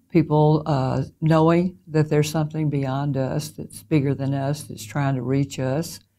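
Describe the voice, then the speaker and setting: In a Southern US accent, a woman with a very deep, low pitch and a dark, mellow tone speaks at a fairly slow pace with monotone, flat intonation. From US South, Mississippi. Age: 70s. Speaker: interviewee sharing spiritual experiences. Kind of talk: personal testimony. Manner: hesitant with frequent fillers.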